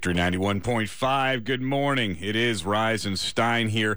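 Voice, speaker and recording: Amid audible room echo, a man speaks at a very slow pace with a bright, sharp tone, a medium pitch and fairly even intonation. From small-town Pennsylvania, US. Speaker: radio host. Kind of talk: morning radio show.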